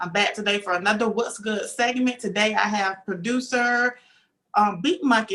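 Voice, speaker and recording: Speaking at a moderate pace, a woman with a Southern accent has a bright, sharp tone. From US South. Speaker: talk show host. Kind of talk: interview.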